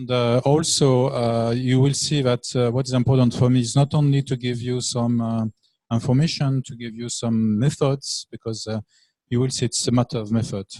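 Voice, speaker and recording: A man speaks with a French accent in a dark, mellow, medium-pitched voice at a moderate pace. His delivery is a flat monotone, recorded dry and close with no echo. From France. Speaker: lecturer. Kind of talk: lecture. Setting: classroom. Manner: hesitant, many fillers.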